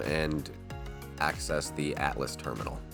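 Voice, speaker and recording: Music plays in the background as a man speaks with a very deep, low pitch. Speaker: gaming guide creator. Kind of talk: video game walkthrough narration. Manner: casual.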